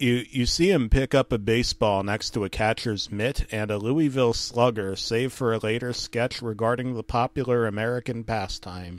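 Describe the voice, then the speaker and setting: Speaking at a moderate pace with hardly any pauses, a man in an ordinary speaking voice and medium pitch is captured on a very clean recording with a silent background, with a dry, close sound and no echo. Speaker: comedic creepypasta narrator. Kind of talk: deadpan creepypasta reading with ironic asides, mock-grave ghost story telling. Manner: mock-serious, dryly undercutting the horror with absurd interjections.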